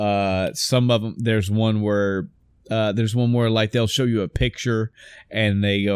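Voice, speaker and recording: An unremarkable speaking voice, moderately paced and with ordinary pitch variation, captured on a very clean recording against a silent background. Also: man. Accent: American. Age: middle-aged. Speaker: gaming podcast co-host. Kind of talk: casual chat.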